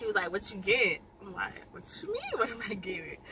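A woman races along at a very fast pace while noticeable background noise plays behind her. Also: dry sound with no echo. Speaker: vlogger. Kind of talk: casual vlog chat. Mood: happy, amused storytelling. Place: car. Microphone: phone near.

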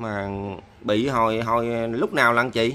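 A man talks at medium pitch in a bright, sharp tone. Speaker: charity video host. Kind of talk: casual chat. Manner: warm, sympathetic. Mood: sympathetic, pitying. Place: home room. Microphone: camera far.

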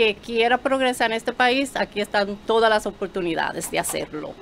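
Against light background noise, a woman talks at a fairly high pitch with ordinary pitch variation. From Dominican Republic (Mao). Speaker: reality show cast member, businesswoman. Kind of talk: promotional interview chat. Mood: proud, warm. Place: studio. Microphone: studio mic.

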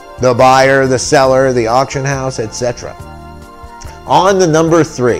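A man at medium pitch and a moderate pace, with ordinary pitch variation and long, frequent pauses, faint music in the background. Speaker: appraiser and auctioneer; auctioneer. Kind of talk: casual talk to camera. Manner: playful, comedic. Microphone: webcam.

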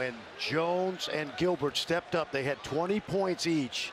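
There is noticeable background noise as a man with a fairly high pitch speaks at a fairly slow pace with fairly even intonation. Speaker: color commentator. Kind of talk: live sports analysis.

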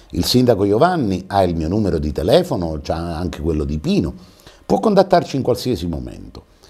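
At a moderate pace, a man with a dark, mellow tone and vocal fry speaks with very wide pitch swings. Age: 60s. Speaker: TV talk show host. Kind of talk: TV interview. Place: studio. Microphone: lapel.

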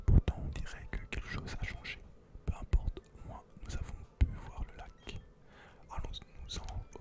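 Soft-spoken whispering at a fairly slow pace, broken by long, frequent pauses. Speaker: gamer reading dialogue. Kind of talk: reading game dialogue aloud. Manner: soft whispered reading, puzzled professor.

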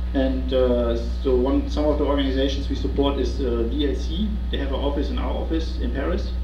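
A man speaks with a very deep, low pitch. Noticeable background noise runs beneath him. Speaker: presenter. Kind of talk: presentation talk. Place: meeting room. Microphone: camera far.

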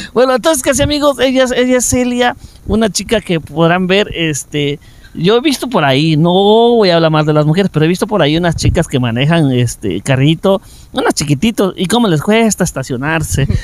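With very wide pitch swings, a man talks at a fairly quick pace in a high pitch, and the sound is dry with no echo. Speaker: video host interviewer. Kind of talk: casual interview chat. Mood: joking, playful. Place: open country. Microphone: handheld.

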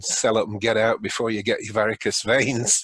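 A man's medium-pitched voice with a British accent, moderate pace, ordinary pitch variation and a dry, echo-free sound. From England. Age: 70s. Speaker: retired physician; podcast guest. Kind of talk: interview. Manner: jovial, laughs often. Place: home room. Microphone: webcam.

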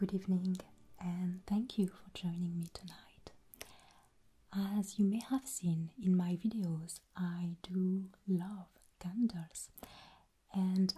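A soft-spoken, somewhat breathy woman with a dark, mellow tone, a very slow pace, long, frequent pauses and fairly even intonation. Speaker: video host. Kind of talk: soft-spoken tutorial intro. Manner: soft-spoken, hushed ASMR delivery. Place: home room.

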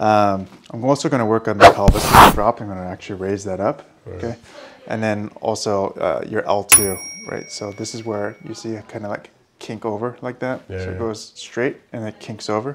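The voice moves at a moderate pace. Loud background noise runs underneath. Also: man. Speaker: chiropractor. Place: office. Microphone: lapel.

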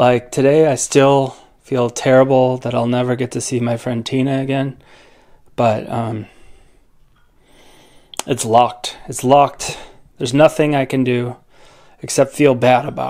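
Over a quiet background, a man with a dark, mellow tone speaks fairly slowly in a monotone, flat delivery with long, frequent pauses. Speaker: family vlogger. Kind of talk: casual vlog chat. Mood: reflective, somber. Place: home room.

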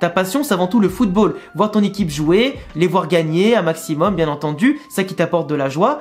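A man talks with hardly any pauses in a high-pitched, animated voice with lively intonation. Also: moderate pace. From France, Lyon; France. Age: 20s. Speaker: football YouTuber. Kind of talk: casual vlog monologue. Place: home room.

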